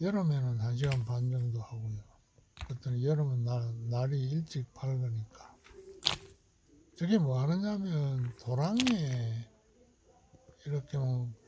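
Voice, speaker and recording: Pausing often and at length, a man speaks very slowly at a medium pitch. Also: ordinary pitch variation. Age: 70s. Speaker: retired hobby farmer vlogger. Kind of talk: casual video diary narration. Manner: halting, with many fillers.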